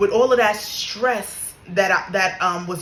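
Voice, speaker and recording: A woman speaks at a medium pitch with ordinary pitch variation and an animated tone. Noticeable background noise and audible room echo are present. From New York. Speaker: spiritual content creator. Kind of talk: casual monologue, spiritual story time.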